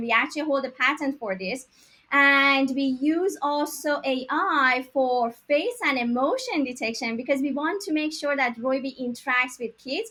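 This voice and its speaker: With a Persian accent, a woman uses a raised, projected voice with a high pitch and a bright, sharp tone. She keeps a moderate pace and ordinary pitch variation. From Iran, Tehran. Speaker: tech startup founder. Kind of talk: interview.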